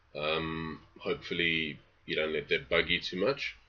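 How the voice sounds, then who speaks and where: A man with a South African accent. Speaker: novelist. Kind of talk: reading aloud; casual introduction. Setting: home study.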